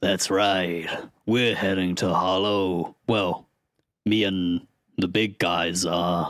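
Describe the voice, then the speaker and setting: In a put-on character voice, a man growls out gruff words at a very slow pace and a very deep, low pitch. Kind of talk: comic overacting. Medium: actual play. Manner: brash and dismissive.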